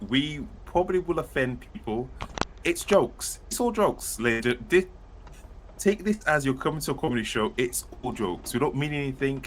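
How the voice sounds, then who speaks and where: With noticeable background noise, a man talks at a moderate pace in a fairly high pitch, his voice making very wide pitch swings. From United Kingdom. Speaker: author and podcast co-host. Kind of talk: casual chat. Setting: live stream.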